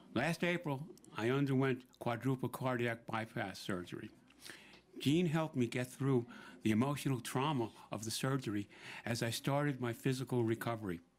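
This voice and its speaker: Speaking with a New York accent, a man uses a medium pitch, ordinary pitch variation and a moderate pace. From New York City, Brooklyn. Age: 70s. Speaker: senior center member and volunteer. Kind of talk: prepared speech at a public event. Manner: some stammering and repeated words.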